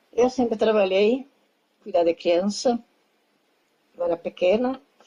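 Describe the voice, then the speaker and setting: With a dark, mellow tone, the speaker goes fairly slowly and varies pitch in an ordinary way. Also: woman. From southern Brazil, Rio Grande do Sul. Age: 80s+. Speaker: retired textile worker. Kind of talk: casual interview.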